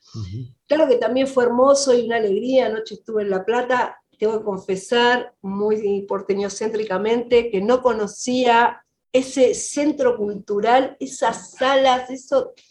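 With a Rioplatense accent, a woman speaks at a fairly high pitch. Her intonation is fairly even and her pace fairly slow. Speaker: film director. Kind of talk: interview.

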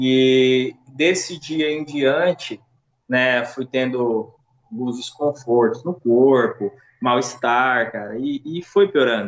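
The man speaks at a very slow pace with a medium pitch. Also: ordinary pitch variation. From Brazil, Minas Gerais (Uberaba). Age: 30s. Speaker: COVID-19 survivor. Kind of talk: casual interview, personal testimony.

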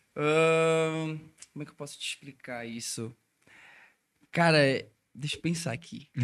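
This man speaks fairly slowly in a fairly high pitch with ordinary pitch variation, leaving long, frequent pauses. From Brazil, Belém do Pará. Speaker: electronic music DJ. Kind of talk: casual chat.

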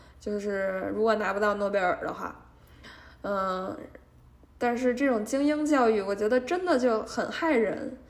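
A woman's fairly high, lively voice at a fairly slow pace, with audible room echo. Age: 20s. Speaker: podcast host and junior litigation lawyer. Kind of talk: casual solo monologue. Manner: hesitant, many filler sounds.

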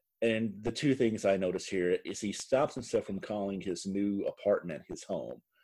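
This is a man recorded very cleanly against a silent background. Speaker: podcast host. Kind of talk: casual banter recapping a reality TV episode.

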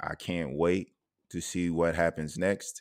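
This speaker talks at a very slow pace with a South Carolina accent. The intonation stays monotone and flat. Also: man. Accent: Southern US (South Carolina). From US South, Orangeburg, South Carolina. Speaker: podcast host. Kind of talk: casual interview chat.

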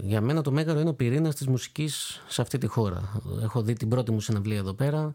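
On a very clean recording with a silent background, a man speaks slowly-ish, at a fairly slow pace, in a normal speaking voice with ordinary pitch variation. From Greece, Corfu. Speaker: clarinetist. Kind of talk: interview.

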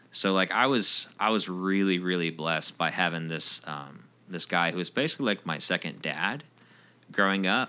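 A man speaks at a moderate pace in a very deep, low voice with a bright, sharp tone and ordinary pitch variation. The recording is very clean, with a silent background. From Roswell, Georgia. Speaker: music producer and audio engineer. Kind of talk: casual interview chat.

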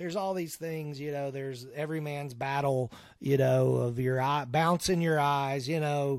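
A man with a plain, everyday voice speaks at a moderate pace with hardly any pauses, his fairly high pitch held in fairly even intonation. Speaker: guest sharing recovery story. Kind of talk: testimony.

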